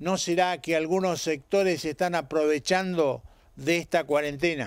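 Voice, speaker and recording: A man's high-pitched voice at a fairly slow pace, dry with no echo, against a quiet background. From Argentina. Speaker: TV host; local TV commentator. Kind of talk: opinion commentary; scripted narration. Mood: serious, questioning. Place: garden. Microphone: handheld.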